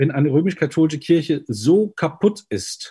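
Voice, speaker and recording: Over a quiet background, a man with a dark, mellow, somewhat breathy tone speaks at a moderate pace with lively intonation. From Germany, Mainz. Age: 50s. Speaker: pastor and party spokesperson. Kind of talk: interview. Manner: preachy, emphatic; hesitant with fillers.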